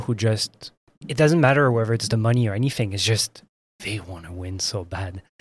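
A man speaks in a normal speaking voice at a moderate pace. His pitch varies in an ordinary way, and the sound is dry and close with no echo. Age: 30s. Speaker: podcast host. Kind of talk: interview.

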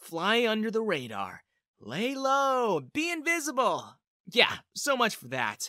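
A put-on character voice, bright and sharp in tone, moves slowly through very wide pitch swings on a very clean recording with a silent background. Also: dry, close sound with no echo.

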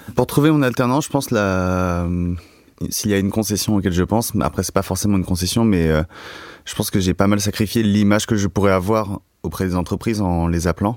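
A man talks at a fairly quick pace and a fairly low pitch with ordinary pitch variation, recorded very cleanly against a silent background. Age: 20s. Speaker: student. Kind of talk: casual chat. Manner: halting.

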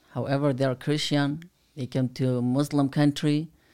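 Delivered fairly slowly in a Kurdish accent, the voice is dark and mellow with flat, monotone intonation, on a very clean recording with a silent background. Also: man. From Kurdistan, Iraq. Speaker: Kurdish aid worker and former volunteer fighter. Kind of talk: casual interview chat. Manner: halting, non-native English.

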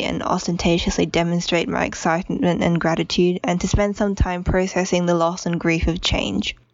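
In an Australian accent, a woman with a fairly low pitch speaks at a moderate pace with hardly any pauses. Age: 20s. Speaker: listener leaving voicemail. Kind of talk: voicemail message. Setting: phone voicemail.

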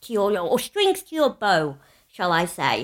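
In a northern English accent, a woman speaks at a moderate pace. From northern England. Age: 30s. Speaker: podcast co-host, former teacher. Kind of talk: casual chat. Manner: loud; animated.

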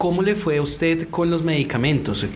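Background noise is noticeable and room echo audible as a man speaks. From Colombia. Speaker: podcast host. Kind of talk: interview.

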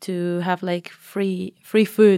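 A woman speaks in a Spanish accent with monotone, flat intonation. The recording is very clean with a silent background and a dry, close sound free of echo. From Mexico. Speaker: master's student. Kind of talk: casual interview chat. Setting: studio.

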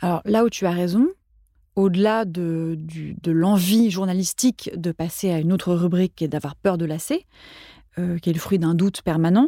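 At a moderate pace, a woman with a medium pitch and a dark, mellow tone talks with ordinary pitch variation, the sound dry and close with no echo on a very clean recording with a silent background. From France, Paris. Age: 40s. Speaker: food journalist and radio columnist. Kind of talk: casual interview conversation.

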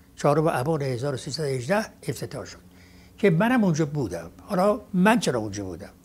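Vocal fry runs through this moderately paced voice, which has very wide pitch swings and big swings in loudness. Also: man, fairly high pitch for a man. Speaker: eyewitness of old Tehran football. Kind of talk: reminiscence interview.

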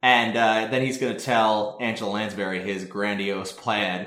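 A man talks in a plain, everyday voice. His intonation stays fairly even. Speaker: podcast host. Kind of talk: casual chat. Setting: outdoors on a mountain, remote call.

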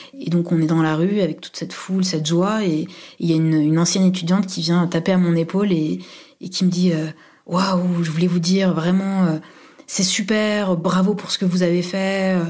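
A woman speaks at a moderate pace with fairly low pitch and a dark, mellow tone. Her intonation is monotone and flat, and room echo is audible. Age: 30s. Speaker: university administrator. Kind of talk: personal testimony. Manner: halting, many fillers.

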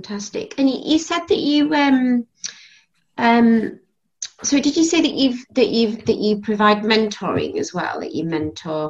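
Speaking fairly slowly in a British accent, a woman uses a fairly high pitch with very wide pitch swings. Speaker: podcast host. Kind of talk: interview conversation.

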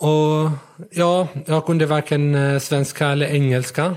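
This man's delivery is very slow. The recording is very clean and the background silent. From Syria. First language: Arabic (speaking Swedish). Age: 20s. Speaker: blind rider. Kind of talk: interview. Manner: halting.

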